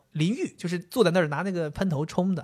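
A man talks at a very fast pace in a high pitch with an animated tone. The recording is very clean, with a silent background. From Liaoning, Northeast China. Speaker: podcast co-host. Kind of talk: casual chat.

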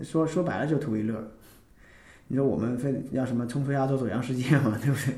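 Fairly quick speech from a man, with audible room echo and noticeable background noise. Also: medium pitch for a man, ordinary pitch variation. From Northeast China. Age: 30s. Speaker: amateur band member and office worker. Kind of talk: casual interview chat.

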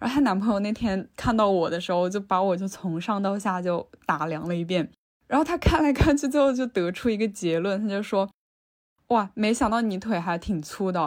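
At a moderate pace, a woman with a medium-pitched voice uses lively intonation and big swings in loudness. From Changsha, Hunan. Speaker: interviewee. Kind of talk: personal testimony. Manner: hesitant.

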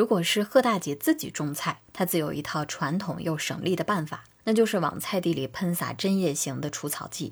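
At a moderate pace and with hardly any pauses, a woman speaks in a calm tone, her fairly low pitch showing ordinary variation. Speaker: podcast host. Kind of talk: scripted narration.

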